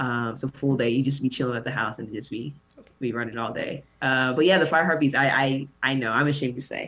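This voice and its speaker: Over noticeable background noise, a woman with a very deep, low pitch talks at a very fast pace with a Southern US accent and fairly even intonation. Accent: Southern-tinged American. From Bakersfield, California. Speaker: pro basketball player and podcaster. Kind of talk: casual interview chat.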